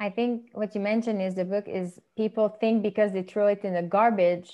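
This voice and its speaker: The woman's pitch is medium and her pace moderate. Her intonation remains fairly even. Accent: Quebec. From Quebec, Montreal. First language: French. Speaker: podcast host. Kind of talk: casual interview chat.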